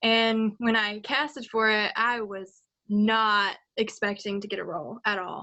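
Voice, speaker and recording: Her voice is fairly high, and this woman speaks with a slight Southern US accent. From Virginia, US South. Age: 18. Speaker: voice actor. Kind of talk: casual chat. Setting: live stream.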